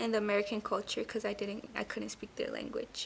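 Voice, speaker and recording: A woman with a Spanish accent at a fairly quick pace. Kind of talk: interview.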